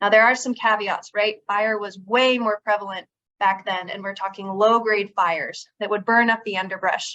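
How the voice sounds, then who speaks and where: Soft-spoken delivery with a bright, sharp tone, fairly even intonation and a moderate pace. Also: woman, medium pitch for a woman. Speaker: conservation district manager. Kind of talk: workshop presentation. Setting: workshop with live audience.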